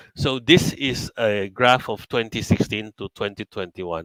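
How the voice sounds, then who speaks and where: The sound is dry and close with no echo, carrying a man's fairly low-pitched voice with a Filipino accent. His tone is bright and sharp, and his pitch variation is ordinary. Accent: Filipino English with Tagalog code-switching. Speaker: company chairman mentoring traders. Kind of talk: live webinar talk.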